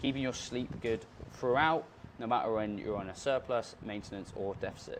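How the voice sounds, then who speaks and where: A man with a normal speaking voice, medium-pitched with ordinary pitch variation, at a moderate pace. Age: 20s. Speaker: fitness coach. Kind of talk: tutorial. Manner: casual.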